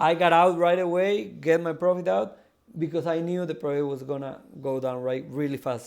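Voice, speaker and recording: A man's fairly high-pitched voice with a Spanish accent and ordinary pitch variation. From South America. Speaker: crypto project founder. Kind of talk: live audio AMA interview. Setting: live audio stage. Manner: halting, many fillers and repeats.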